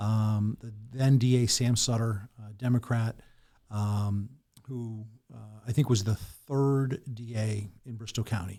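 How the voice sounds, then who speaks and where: Very slowly, a man with an American accent talks at a medium pitch in a dark, mellow tone with fairly even intonation. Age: 50s. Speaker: lawyer and political candidate. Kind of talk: podcast interview.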